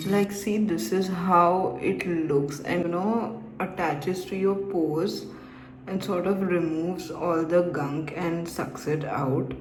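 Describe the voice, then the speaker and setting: Speech comes at a very slow pace, with audible room echo and noticeable background noise. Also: woman, fairly low pitch for a woman, ordinary pitch variation. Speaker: beauty vlogger. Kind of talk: casual vlog tutorial. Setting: at home at night. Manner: slow, quiet.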